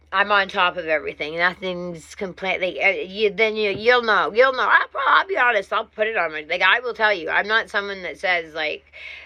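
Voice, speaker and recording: Speaking at a fairly quick pace with hardly any pauses, a woman with a medium-pitched voice is heard over noticeable background noise. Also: ordinary pitch variation. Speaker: vlogger in drug withdrawal. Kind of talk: personal vlog monologue. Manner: slurring when tired.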